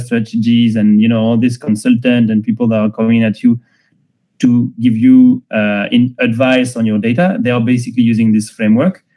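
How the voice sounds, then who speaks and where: This man's pitch is medium and his intonation fairly even. He moves along at a fairly quick pace. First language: not English. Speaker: tech founder and data strategy speaker. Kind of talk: online lecture. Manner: hesitant, many fillers.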